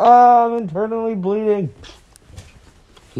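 Noticeable background noise runs beneath the man's speech. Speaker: gaming YouTuber. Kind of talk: gameplay commentary. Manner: animated.

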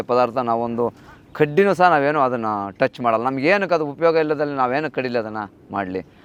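A man speaks at a medium pitch in an unremarkable speaking voice. Lively intonation runs through his delivery. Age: 40s. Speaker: cattle farmer. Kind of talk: casual interview.

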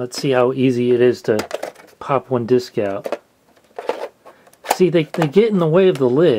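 A man talks at a fairly slow pace while noticeable noise sounds in the background. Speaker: product reviewer. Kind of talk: review commentary. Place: home room.

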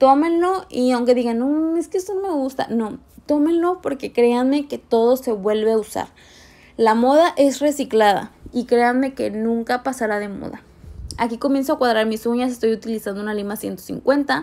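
On a very clean recording with a silent background, a woman speaks at a moderate pace in a high, dark, mellow voice with ordinary pitch variation. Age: 20s. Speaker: nail technician. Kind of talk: tutorial. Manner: animated.

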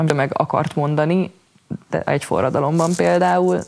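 Vocal fry runs through this woman's very deep, low voice. She keeps a moderate pace. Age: 20s. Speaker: poet, writer, slam poet. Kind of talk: interview answer. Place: studio.

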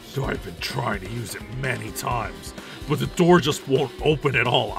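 A man performs a put-on character voice at a moderate pace. Clear music plays behind him.

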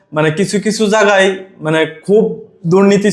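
A man speaks with fairly even intonation. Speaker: vlogger, migrant worker. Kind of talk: informational vlog monologue. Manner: halting.

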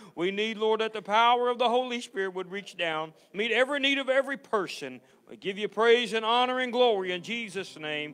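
This man has a high pitch. He talks at a fairly quick pace with hardly any pauses. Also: ordinary pitch variation. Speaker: pastor or service leader. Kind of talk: church welcome and prayer. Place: church.

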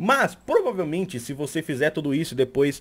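Speaking at a fairly quick pace, a man with a Brazilian accent uses a fairly high pitch and an animated tone. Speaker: YouTuber and Twitch streamer; YouTuber, Twitch streamer. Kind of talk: tutorial. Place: home room.

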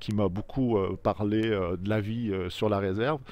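A man talks at a fairly slow pace with fairly low pitch and ordinary pitch variation. The sound is dry with no echo. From Quebec. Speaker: novelist. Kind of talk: interview about his novel; book presentation, answering questions. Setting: filmed video interview, camera operated by friend. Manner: hesitant with frequent fillers and repetitions. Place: street. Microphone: handheld.

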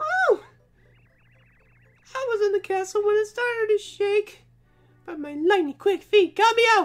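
A put-on character voice rises to an extremely high pitch. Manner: excited, boastful.

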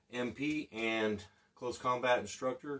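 A man's voice with fairly even intonation, set against a quiet background. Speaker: channel host, former instructor. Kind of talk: casual vlog chat. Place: home room.

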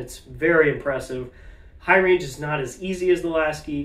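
Noticeable background noise sits behind the speech. A man talks at a moderate pace. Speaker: trombone player reviewing gear. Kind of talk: casual vlog talk to camera. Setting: home video recording to camera.

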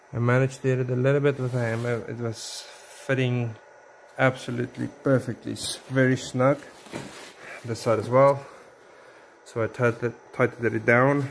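Over light background noise, a man speaks at a moderate pace in a monotone, flat intonation, leaving long, frequent pauses. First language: not English. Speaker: DIY builder and video maker. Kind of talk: tutorial. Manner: halting, with many fillers. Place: workshop. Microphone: phone near.

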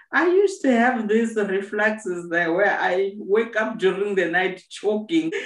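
Audible room echo surrounds a woman speaking at a very slow pace. The background is otherwise quiet. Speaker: host sharing health tips. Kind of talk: casual conversation. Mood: earnest, advising. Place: home room. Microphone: video call.

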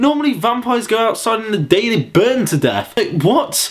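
A man's high voice with very wide pitch swings, in an English accent. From England. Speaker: vlogger. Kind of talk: casual vlog monologue. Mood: sarcastic, mocking, amused. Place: home room. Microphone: webcam.

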